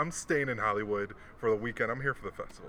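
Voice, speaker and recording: A man speaks over noticeable background noise. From Hawaii. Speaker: podcast host. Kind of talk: casual chat.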